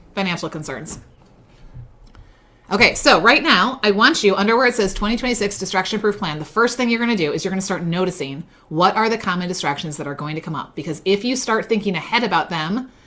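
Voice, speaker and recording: A woman at medium pitch with lively intonation and a very fast pace, over noticeable background noise. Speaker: business coach running a faith-based masterclass. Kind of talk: live online workshop teaching. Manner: animated.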